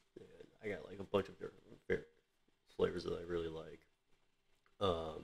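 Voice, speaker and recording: Quietly and at a moderate pace, a man speaks with big swings in loudness and long, frequent pauses. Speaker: vlogger. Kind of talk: casual product review vlog. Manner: quiet, low voice; hesitant, many fillers. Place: home room. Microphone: webcam.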